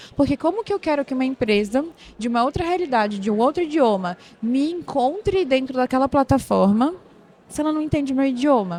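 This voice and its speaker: A woman with a high pitch and a dark, mellow tone talks at a fairly quick pace in a Pará accent. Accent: Paraense accent, hissing s (chiado). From northern Brazil, Belém do Pará. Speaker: operations manager at a tech company. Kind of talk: podcast interview. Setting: recorded at a tech conference.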